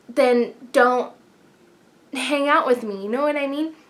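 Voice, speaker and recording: A woman speaks loudly in an animated tone. Her pace is fairly slow. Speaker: beauty vlogger. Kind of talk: casual advice vlog.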